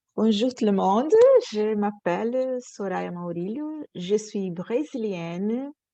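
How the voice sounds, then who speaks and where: In a Portuguese accent, a woman speaks very slowly with a dark, mellow tone, fairly high pitch and ordinary pitch variation against a quiet background. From Brazil, Rio de Janeiro. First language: Portuguese (speaking French). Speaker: panelist, cultural organization worker. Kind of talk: panel discussion testimony.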